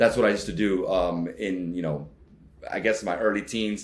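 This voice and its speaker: A man with a Miami accent speaks at a moderate pace in a very deep, low voice with ordinary pitch variation. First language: Spanish. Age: 30s. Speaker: travel vlogger. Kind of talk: interview. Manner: many fillers and restarts.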